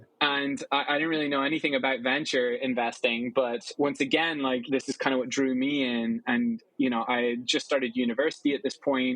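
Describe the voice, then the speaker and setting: A man with an Irish accent talks at a very fast pace. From Ireland. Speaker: venture capital investor. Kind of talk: interview. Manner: casual, conversational.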